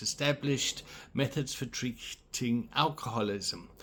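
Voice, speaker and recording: A man's voice sits at a medium pitch, and he talks at a moderate pace. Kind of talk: reading aloud. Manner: halting.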